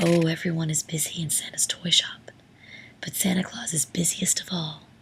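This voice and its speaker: A soft-spoken whisper at a moderate pace, with noticeable background noise. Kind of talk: whispered bedtime story reading. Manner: whispered, soft-spoken.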